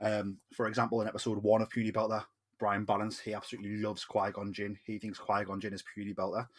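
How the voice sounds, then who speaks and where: The speaker talks at a very fast pace with a Geordie accent. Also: man. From northern England, Newcastle. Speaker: podcast host. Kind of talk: casual podcast chat. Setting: recording in Newcastle.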